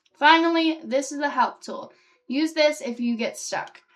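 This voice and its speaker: Here a woman is speaking. Her pitch variation is ordinary. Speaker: gaming youtuber. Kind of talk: reading game dialogue aloud during gameplay.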